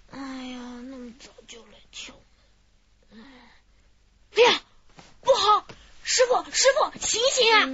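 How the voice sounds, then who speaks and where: A woman's put-on character voice at an extremely high pitch, with very wide pitch swings, a fairly slow pace and long, frequent pauses. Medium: audio drama. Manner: chatty, lively.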